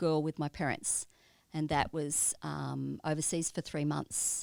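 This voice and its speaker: On a very clean recording with a silent background, a woman speaks in an Australian accent at a very deep, low pitch. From Australia, Melbourne. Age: 60s. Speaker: church member, pastoral carer. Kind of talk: interview.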